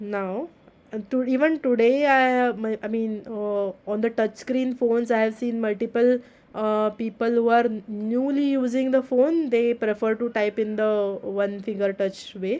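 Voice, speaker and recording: A woman's dark, mellow tone at a fairly high pitch and fairly slow pace, against a quiet background. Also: fairly even intonation. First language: not English. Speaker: teaching assistant. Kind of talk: tutorial. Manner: halting.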